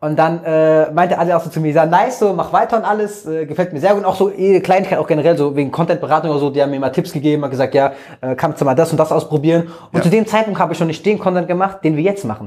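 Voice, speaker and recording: Talking very fast, a man uses a high pitch with ordinary pitch variation. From Germany, Frankfurt. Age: 20s. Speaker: social media creator. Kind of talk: casual interview.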